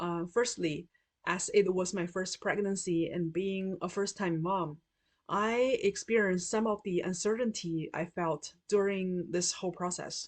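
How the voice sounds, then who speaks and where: Speaking at a fairly slow pace, a woman with a Chinese accent uses a medium pitch. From China. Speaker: patient partner. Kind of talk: prepared testimony.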